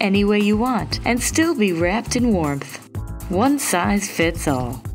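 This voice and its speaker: Over background music, a woman with a fairly low pitch speaks at a fairly slow pace, her pitch swinging very widely. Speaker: narrator. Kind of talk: TV infomercial read (parody). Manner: upbeat, salesy.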